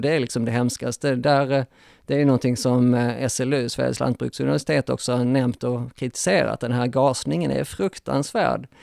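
In an ordinary speaking voice, a man at medium pitch talks at a moderate pace with ordinary pitch variation, recorded very cleanly against a silent background with a dry, close sound with no echo. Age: 40s. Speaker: animal rights activist. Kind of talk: panel discussion. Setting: hotel recording venue.

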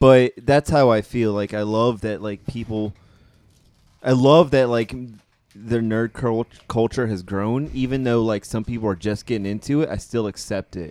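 A man with a medium-pitched voice speaks at a fairly slow pace with ordinary pitch variation. The sound is dry and close with no echo, and he has an unremarkable speaking voice. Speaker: podcast guest. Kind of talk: casual chat.

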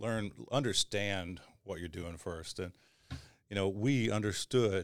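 A man speaks with an Arkansas accent. The recording is very clean, with a silent background. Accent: Southern US (Arkansas). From Northeast Arkansas, US South. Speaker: crane operator. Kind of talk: casual chat.

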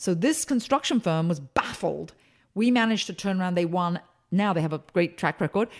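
A woman with an American accent speaks at a fairly quick pace and medium pitch, energetic in tone and lively in intonation. The recording is very clean, with a silent background. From England. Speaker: speaker and consultant. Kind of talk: interview.

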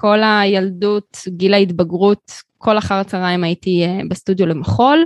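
A woman with a plain, everyday voice speaks at a moderate pace and medium pitch, the sound dry and close with no echo and the background quiet. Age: 30s. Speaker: graphic designer and studio owner. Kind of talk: interview.

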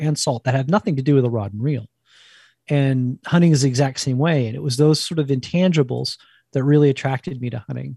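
Over a quiet background with dry, close sound and no echo, a man with an American accent talks at a fairly quick pace in a fairly high, somewhat breathy voice with a dark, mellow tone and ordinary pitch variation. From New Jersey, near New York. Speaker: wild food cookbook author and former chef. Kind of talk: casual interview.

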